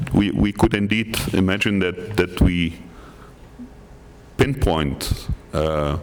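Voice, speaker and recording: Through noticeable background noise, a man with a very deep, low pitch speaks at a fairly slow pace with ordinary pitch variation. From Netherlands. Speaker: workshop participant. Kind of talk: group report-back at workshop. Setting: conference room with microphone. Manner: halting, with repetitions.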